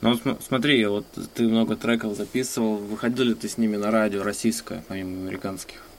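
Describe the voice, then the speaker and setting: Speaking at a fairly quick pace, a man with a fairly low voice keeps his intonation fairly even. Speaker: podcast host. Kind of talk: interview. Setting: Skype call.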